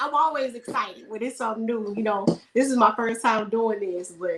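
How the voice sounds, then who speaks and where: A plain, everyday voice with ordinary pitch variation, a moderate pace and an American accent. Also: woman. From Houston, Texas. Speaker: air force veteran and video creator. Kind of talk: casual chat.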